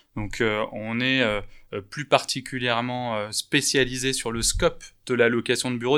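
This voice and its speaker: The recording is very clean with a silent background as a man speaks at a medium pitch in monotone, flat intonation. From France, Bordeaux. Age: 30s. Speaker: startup founder in commercial real estate. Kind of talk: interview. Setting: office.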